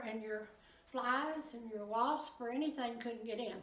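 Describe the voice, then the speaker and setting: A woman with a Southern US accent speaks at a high pitch and a fairly slow pace. Her pitch varies in an ordinary way, and there is noticeable background noise. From Arkansas. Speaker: museum docent. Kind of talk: museum tour guide talk.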